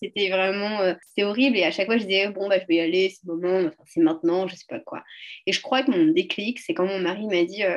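A normal speaking voice at a fairly quick pace. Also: woman. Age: 30s. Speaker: entrepreneur in youth career guidance. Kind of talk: casual interview.

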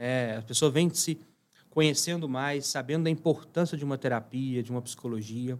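With an ordinary speaking voice, a man talks at a moderate pace and a fairly high pitch, his pitch variation ordinary, over a very clean recording with a silent background. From Minas Gerais, Brazil (Uberlândia). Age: 30s. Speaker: startup CEO. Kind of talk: interview.

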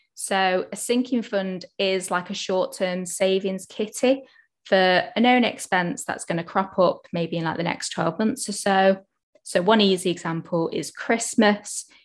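In an ordinary speaking voice, a woman talks fairly slowly at medium pitch with ordinary pitch variation. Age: 20s. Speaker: accountant and financial educator. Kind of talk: casual chat.

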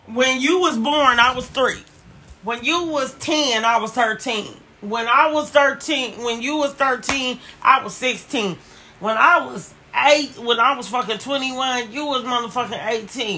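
A fairly slow, animated delivery with ordinary pitch variation and big swings in loudness, over noticeable background noise. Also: woman, high pitch for a woman. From Oakland, California. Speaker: podcast co-host. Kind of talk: casual chat.

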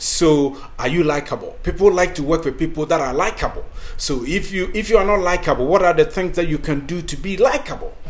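A high-pitched man with an African accent at a fairly quick pace, ordinary pitch variation, over noticeable background noise. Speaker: podcast host and career coach. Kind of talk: scripted-style talk, tutorial.

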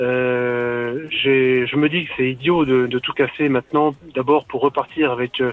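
Spoken at a very slow pace in a flat monotone, the voice runs on with hardly any pauses over noticeable background noise. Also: man, medium pitch for a man. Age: 50s. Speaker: caller. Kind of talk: radio call-in. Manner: halting.

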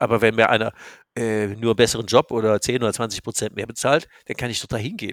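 A man at a very fast pace in a monotone, flat intonation, with a dry, close sound with no echo and a very clean recording, silent background. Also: medium pitch for a man. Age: 60s. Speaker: business coach. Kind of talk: casual chat.

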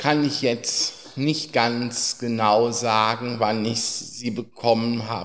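Each word from this man comes out at a very slow pace. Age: 30s. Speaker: care home resident, blind wheelchair user. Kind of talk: casual interview. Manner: hesitant.

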